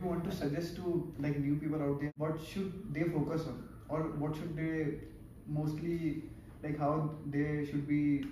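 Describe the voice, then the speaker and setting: Against light background noise and audible room echo, a man talks at a fairly slow pace in a fairly high pitch, his intonation monotone and flat. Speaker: interviewer, channel host. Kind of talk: interview questions. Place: office. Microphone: camera far.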